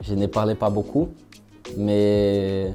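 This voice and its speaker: Music plays in the background. Over it, a man talks in a fairly low pitch. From southern Brazil. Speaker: engineering student. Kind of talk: interview answer. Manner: hesitant.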